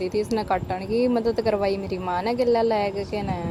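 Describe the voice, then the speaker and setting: Amid noticeable background noise, a woman speaks with a Haryana accent at a moderate pace. Her medium-pitched delivery is monotone, with flat intonation. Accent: Haryanvi. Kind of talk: casual vlog narration.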